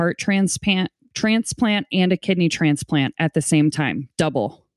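With an American accent, a woman has an ordinary speaking voice, fairly low in pitch, with ordinary pitch variation and a dry, close sound with no echo. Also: quiet background. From US Midwest, St. Louis, Missouri. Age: 30s. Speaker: podcaster, guest. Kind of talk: personal testimony.

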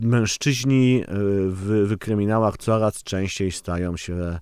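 On a very clean recording with a silent background, a man's dark, mellow tone sits fairly low in pitch with ordinary pitch variation. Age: 30s. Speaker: crime novelist. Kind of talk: casual chat. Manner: halting.

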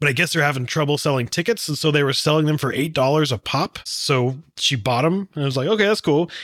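Recorded very cleanly against a silent background, a man with an American accent and an ordinary speaking voice talks at a fairly quick pace and fairly high pitch, with ordinary pitch variation and very even loudness. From Texas. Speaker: podcast co-host. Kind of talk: casual chat.

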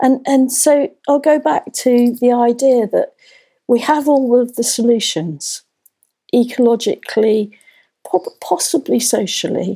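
A woman's high, dark and mellow voice at a fairly slow pace, with very even loudness. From England, North London. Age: 60s. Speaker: magazine editor and permaculture author. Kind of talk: interview. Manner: hesitant, frequent fillers and repetitions.

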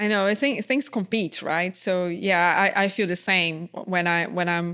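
A woman with a non-native accent speaks at a fairly low pitch. Her intonation stays fairly even. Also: very clean recording, silent background. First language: not English. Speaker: podcast host and entrepreneur. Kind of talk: interview conversation.

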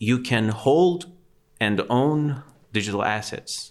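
Speaking very slowly in a Persian accent, a man lets his pitch swing very widely. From Iran, Tehran. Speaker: digital artist. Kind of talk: casual chat.

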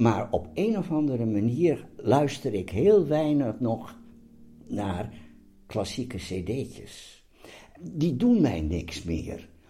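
With vocal fry and a dark, mellow tone, a man at a medium pitch talks very slowly with very wide pitch swings, and room echo is audible. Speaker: host's father. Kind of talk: casual chat. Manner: halting.

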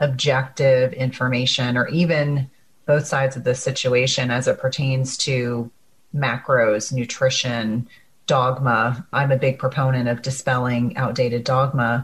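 A woman with an American accent speaks at a fairly slow pace in a very deep, low, somewhat breathy voice with monotone, flat intonation. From US Northeast (New Jersey). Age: 40s. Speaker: podcast host, nurse practitioner. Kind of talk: interview podcast.

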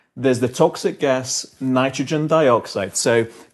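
Fairly slow delivery in a London accent. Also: man. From England, London. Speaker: doctor. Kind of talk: Q&A discussion.

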